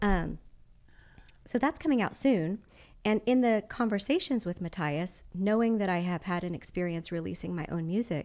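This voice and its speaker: Speaking with a slight Texas accent, a woman at medium pitch keeps a moderate pace and lively intonation on a very clean recording with a silent background. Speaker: belly dancer and dance studio owner. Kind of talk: podcast interview conversation. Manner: casual, with many fillers.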